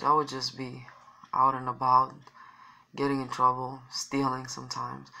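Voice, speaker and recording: A woman at a moderate pace. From Romania. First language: Romanian. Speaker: vlogger. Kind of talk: personal testimony. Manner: halting.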